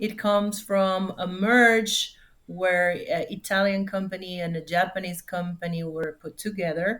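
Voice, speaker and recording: At a fairly slow pace, a woman with a Spanish accent speaks at a medium pitch with fairly even intonation. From Mexico. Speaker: corporate security manager. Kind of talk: interview. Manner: halting.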